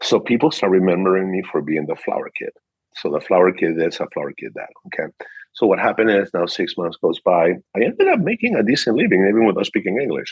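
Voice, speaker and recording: In a Peruvian accent, a man speaks at a very fast pace. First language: Spanish. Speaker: car dealership manager. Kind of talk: interview. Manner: animated.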